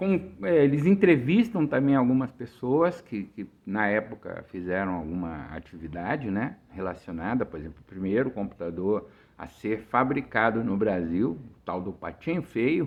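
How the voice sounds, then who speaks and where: A man with medium pitch speaks at a moderate pace with hardly any pauses. His pitch swings very widely and his loudness shifts in big swings. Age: 60s. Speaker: author. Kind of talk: casual chat. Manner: halting.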